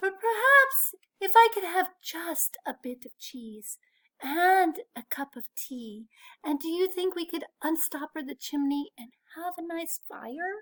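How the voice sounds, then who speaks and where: A woman puts on a character voice at an extremely high pitch. She delivers it at a fairly slow pace. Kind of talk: bedtime story. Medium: read story.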